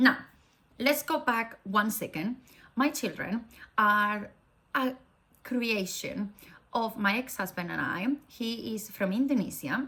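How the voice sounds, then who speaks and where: A woman speaks very slowly, with long pauses coming often. Her tone is bright and sharp, her pitch fairly high, and her pitch varies in an ordinary way. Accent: Spanish. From Spain. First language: Spanish. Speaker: faith vlogger. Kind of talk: casual talk to camera.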